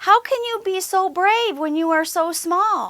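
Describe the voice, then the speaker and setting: Pitched extremely high, a woman's squeaky, put-on character voice comes through. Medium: read story.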